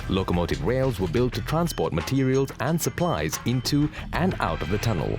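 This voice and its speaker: Over music in the background, a man's voice makes very wide pitch swings while holding a very even loudness. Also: medium pitch for a man, moderate pace. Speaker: voice actor. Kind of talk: corporate narration.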